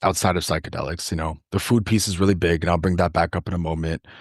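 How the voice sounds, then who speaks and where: The speaker talks with a Toronto accent over a quiet background. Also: man. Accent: Canadian English, Toronto. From Canada, Toronto. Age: 20s. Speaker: food justice worker and urban farmer. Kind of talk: podcast interview.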